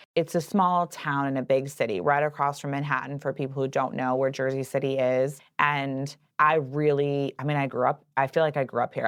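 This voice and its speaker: This woman has a very deep, low pitch. She talks at a fairly quick pace with monotone, flat intonation. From Hawaii. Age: 30s. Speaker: podcast co-host. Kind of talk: casual chat.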